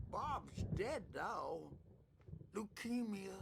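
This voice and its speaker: A man puts on a character voice at an extremely high pitch. Clear background noise can be heard behind him. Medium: video game. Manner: rambling, drifting.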